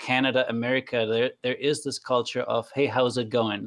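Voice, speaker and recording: A man speaks at a medium pitch and a moderate pace with a German accent. His intonation is monotone and flat, and the sound is dry and close with no echo. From Germany. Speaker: trainer. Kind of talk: casual chat.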